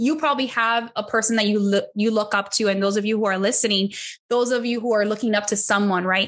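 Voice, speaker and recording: A woman with an American accent and an animated tone speaks at a very fast pace with a fairly high pitch and very even loudness. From Miami, Florida (Cuban American). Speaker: business consultant and sales trainer. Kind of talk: interview conversation.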